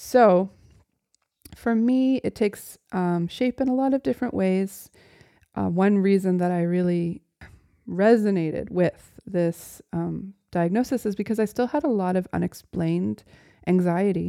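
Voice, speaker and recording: In a dry, close recording with no echo, a woman with an unremarkable speaking voice talks at a fairly slow pace, her pitch medium with ordinary variation. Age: 40s. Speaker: author reading her own memoir. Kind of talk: reading aloud; reflective monologue.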